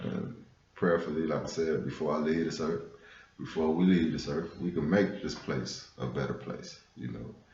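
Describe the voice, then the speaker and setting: A man with an American accent at a moderate pace, amid noticeable background noise and audible room echo. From US West Coast, South Central Los Angeles. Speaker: spiritual vlogger. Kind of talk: casual monologue on spirituality. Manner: conversational, frequent fillers.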